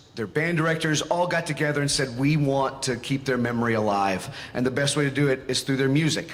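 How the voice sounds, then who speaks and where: The voice has an American accent and ordinary pitch variation. Audible room echo and noticeable background noise are present. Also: man. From Western North Carolina. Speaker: band conductor. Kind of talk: concert stage announcement. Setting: concert stage with audience.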